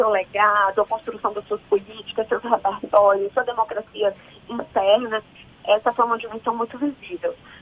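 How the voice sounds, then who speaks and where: A woman speaks with a fairly high pitch and fairly even intonation. Noticeable background noise runs behind her. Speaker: politician, city councillor-elect. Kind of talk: radio interview.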